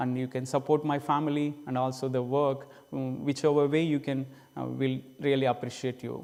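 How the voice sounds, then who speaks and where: A man with an Indian accent talks at a moderate pace. His fairly high voice stays monotone and flat. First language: Indian language. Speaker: missionary preacher. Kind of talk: church presentation. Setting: church. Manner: halting.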